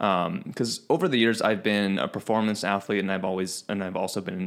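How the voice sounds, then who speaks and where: A plain, everyday voice, this man talks at a fairly quick pace with an American accent, a fairly low pitch and fairly even intonation. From Chicago, US Midwest. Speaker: fitness podcast host. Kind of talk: casual chat.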